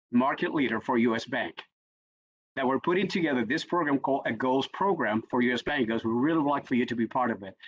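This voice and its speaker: A man talks at a very fast pace with a Spanish accent. His pitch is medium, with ordinary variation. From Puerto Rico. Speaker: executive coach. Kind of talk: panel discussion.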